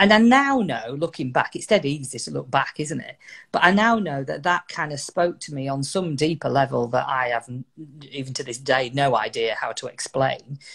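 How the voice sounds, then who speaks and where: A woman's very deep, low voice with a northern English accent, lively intonation, big swings in loudness, and a moderate pace on a very clean recording with a silent background. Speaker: motivational speaker. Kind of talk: interview storytelling. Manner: conversational, hesitant fillers.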